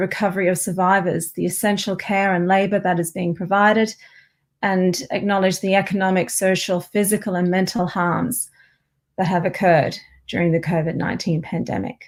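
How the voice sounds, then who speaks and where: Recorded very cleanly against a silent background, a woman with an Australian accent speaks at a fairly quick pace and medium pitch. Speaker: professor. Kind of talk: academic lecture.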